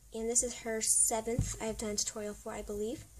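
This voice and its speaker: A woman speaking at a fairly quick pace over noticeable background noise. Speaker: craft tutorial youtuber. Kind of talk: tutorial. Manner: casual, with many fillers.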